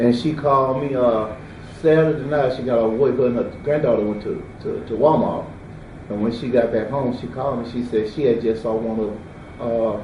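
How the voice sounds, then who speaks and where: Over audible room echo, a man with a Mississippi Delta accent speaks at a medium pitch and moderate pace, with fairly even intonation. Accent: Southern US (Mississippi Delta). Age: 60s. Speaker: eyewitness. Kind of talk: interview. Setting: at home.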